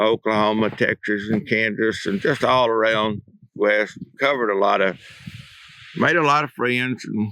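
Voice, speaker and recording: The voice has a bright, sharp tone, ordinary pitch variation and a moderate pace. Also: man, fairly low pitch for a man. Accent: Alabama. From Northeast Alabama, USA. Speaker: retired high school principal. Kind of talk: oral history interview answer.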